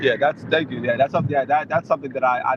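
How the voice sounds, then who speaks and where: A man speaks with an American accent amid noticeable background noise. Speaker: IRL live streamer. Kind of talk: casual chat. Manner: fast; rambling.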